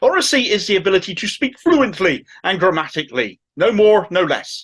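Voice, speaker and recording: Speaking with a strong Cornish accent, a man swings his pitch very widely. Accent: thick Cornish. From Cornwall, England. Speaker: political commentary YouTuber. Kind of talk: political commentary monologue.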